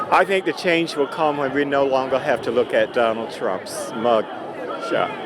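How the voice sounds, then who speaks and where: Speaking at a moderate pace with an American accent, the voice competes with noticeable background noise. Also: man. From US South. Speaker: protester interviewed at a march. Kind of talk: street interview. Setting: outdoors at a street protest.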